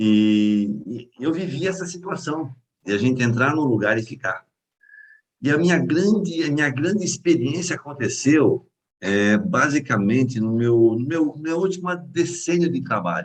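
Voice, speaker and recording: This man's voice sits at a fairly high pitch. It swings very widely in pitch. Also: fairly slow pace. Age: 60s. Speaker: mentoring session participant. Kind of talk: group video call discussion. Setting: video call.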